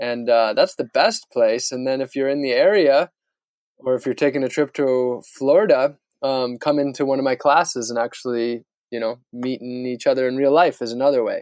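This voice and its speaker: An ordinary speaking voice: a man with an American accent, medium pitch and ordinary pitch variation, at a moderate pace. The sound is dry and close, with no echo. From US Midwest, northern Wisconsin. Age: 30s. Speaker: sustainability activist and adventurer. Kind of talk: interview.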